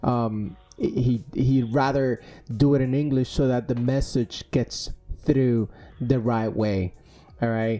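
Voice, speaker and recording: Music in the background behind a man with a Spanish accent, medium pitch, fairly even intonation and a very slow pace. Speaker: podcast host. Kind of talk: casual interview chat. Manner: hesitant, many fillers.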